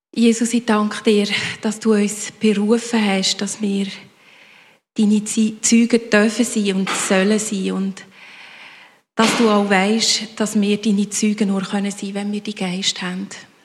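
At a very slow pace broken by long, frequent pauses, a woman speaks in a somewhat breathy voice at a medium pitch, her intonation flat and monotone. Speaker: congregation member praying. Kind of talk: spoken prayer.

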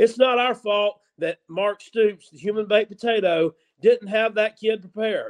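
A man's high-pitched voice with a Southern US accent, fairly even intonation and a moderate pace, in a dry, close sound with no echo. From upstate South Carolina. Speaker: sports podcast co-host. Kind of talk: casual sports talk show banter. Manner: halting, stumbling over words.

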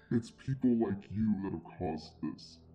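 A man puts on a character voice with a fairly low pitch. He keeps a moderate pace. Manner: echoing, looming.

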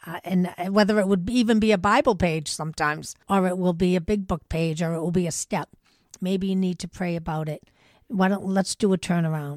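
In a normal speaking voice, a woman with an American accent talks at a fairly quick pace and medium pitch, with ordinary pitch variation and a dry, close sound with no echo. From Massachusetts North Shore (Lynn area). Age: 60s. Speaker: person in 12-step recovery. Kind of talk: casual interview about recovery. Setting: in-person recording.

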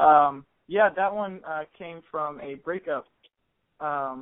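In an American accent, a man with a normal speaking voice talks at a fairly high pitch with ordinary pitch variation. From US Midwest, Columbus, Ohio. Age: 20s. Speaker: musician. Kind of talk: casual chat. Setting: phone call.

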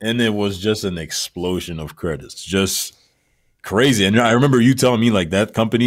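A man at a fairly quick pace with ordinary pitch variation, in a very clean recording with a silent background. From Montreal, Quebec. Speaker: music producer. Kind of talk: interview on live stream.

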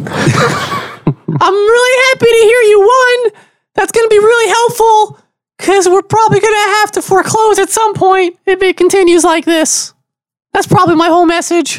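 A squeaky, put-on character voice with an extremely high pitch moves along at a moderate pace. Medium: actual play. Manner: halting, apologetic.

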